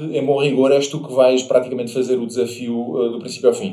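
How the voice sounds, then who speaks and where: The intonation stays fairly even, and audible room echo surrounds the voice. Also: man. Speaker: podcast host. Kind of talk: casual interview chat.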